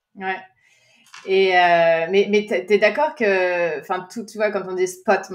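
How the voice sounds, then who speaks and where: At a fairly slow pace, a woman speaks. Her medium pitch has ordinary variation. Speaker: podcast host, energy analyst. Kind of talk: interview conversation. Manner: frequent hesitations.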